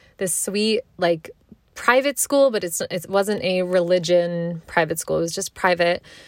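In a Mid-Atlantic accent, a woman speaks at a fairly slow pace with medium pitch, ordinary pitch variation and an animated tone, on a very clean recording with a silent background and a dry, close sound with no echo. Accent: American, Mid-Atlantic. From US, Maryland. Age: 20s. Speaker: podcast host. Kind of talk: casual monologue.

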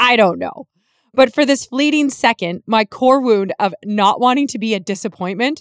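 This woman has a western Canadian accent and ordinary pitch variation. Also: dry, close sound with no echo. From Canadian prairies, rural Alberta/Saskatchewan. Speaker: podcast host and healing coach. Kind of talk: personal storytelling monologue.

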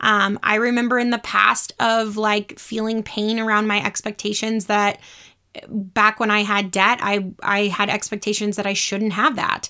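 The recording is very clean with a silent background. A woman talks at a fairly slow pace in a bright, sharp tone with fairly high pitch. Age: 30s. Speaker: podcast host and mindset and business coach. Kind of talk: casual monologue.

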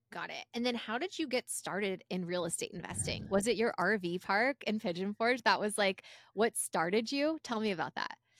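A plain, everyday voice with an American accent speaks at a moderate pace with lively intonation and hardly any pauses, on a very clean recording with a silent background and a dry, close sound with no echo. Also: woman, fairly high pitch for a woman. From Los Angeles, US. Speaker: podcast co-host. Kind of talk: casual interview chat.

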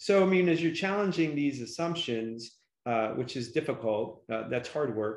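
Lively intonation marks an unremarkable speaking voice that keeps a moderate pace. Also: man, fairly high pitch for a man. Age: 50s. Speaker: podcast host. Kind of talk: interview.

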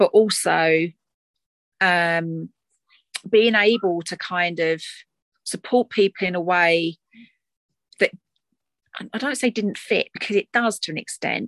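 A woman's medium pitch with a slight Essex accent and ordinary pitch variation, at a fairly slow pace with long, frequent pauses, in a dry, close sound with no echo. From Essex, England. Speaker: doula and course facilitator. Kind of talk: casual interview chat.

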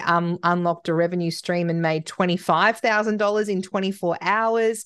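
An unremarkable speaking voice from a woman, medium in pitch, with fairly even intonation, very even loudness, a moderate pace, hardly any pauses and a quiet background. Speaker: podcast host. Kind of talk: casual interview chat.

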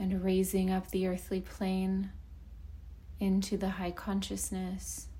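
The voice has a soothing, calm tone that is dark, mellow and somewhat breathy. It moves at a very slow pace, with monotone, flat intonation and very even loudness. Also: woman, medium pitch for a woman. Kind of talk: guided meditation. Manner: slow, soothing, calm and gentle, with long pauses between phrases; soft-spoken, hushed and unhurried.

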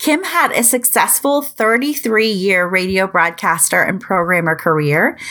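With an American accent and lively intonation, a woman talks in a plain, everyday voice on a very clean recording with a silent background. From US Midwest. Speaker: podcast host. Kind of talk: interview.

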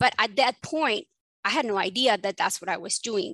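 A woman with a Spanish accent speaks at a moderate pace, with ordinary pitch variation. The sound is dry and close with no echo, against a quiet background. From Mexico and Texas. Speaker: family physician and ADHD coach. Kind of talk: interview.

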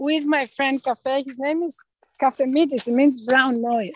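A woman with a Greek accent speaks at a fairly slow pace with ordinary pitch variation, her voice sounding dry and close with no echo. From Greece. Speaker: retreat center director. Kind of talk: casual interview.

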